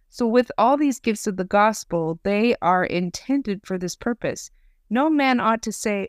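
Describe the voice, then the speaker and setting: A woman with an ordinary speaking voice talks at a medium pitch and moderate pace, with lively intonation. The recording is very clean, with a silent background and a dry, close sound with no echo. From Idaho. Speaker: podcast host. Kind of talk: faith podcast conversation.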